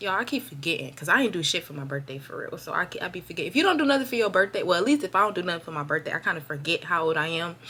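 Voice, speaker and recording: Fairly low-pitched woman at a very fast pace with hardly any pauses, very wide pitch swings, big swings in loudness, and noticeable background noise. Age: 20s. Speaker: vlogger. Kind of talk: casual vent vlog. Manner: unscripted freestyle talk.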